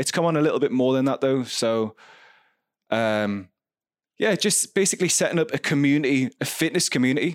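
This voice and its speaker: A man talks in an ordinary speaking voice, fairly high-pitched, with lively intonation and very even loudness. The recording is very clean, the background silent. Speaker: fitness studio owner and coach. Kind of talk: casual interview chat.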